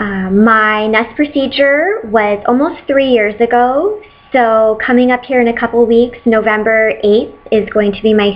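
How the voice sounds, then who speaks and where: Over noticeable background noise, a woman speaks at a moderate pace, her fairly high pitch showing ordinary variation. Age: 30s. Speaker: patient sharing surgery experience. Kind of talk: casual talk to camera.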